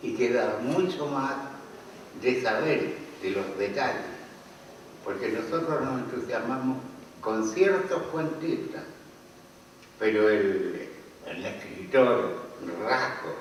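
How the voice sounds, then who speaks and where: A man with a medium pitch talks at a very slow pace with lively intonation and long, frequent pauses, in a room with audible echo and noticeable background noise. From Chile. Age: 80s+. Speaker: author. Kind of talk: book launch talk.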